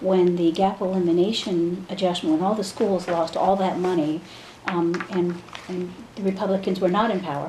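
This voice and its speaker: A woman talks at a moderate pace and a medium pitch, with monotone, flat intonation. Noticeable background noise and audible room echo are present. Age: 60s. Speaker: state senator. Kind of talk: interview.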